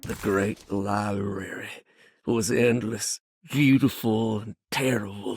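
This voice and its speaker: A man puts on a character voice, pitched fairly low. He speaks at a fairly slow pace. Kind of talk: horror narration. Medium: video game.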